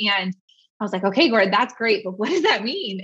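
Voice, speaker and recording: A woman with an American accent and a fairly high pitch. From US West Coast, San Francisco Bay Area. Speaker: social media marketing business owner. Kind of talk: casual interview.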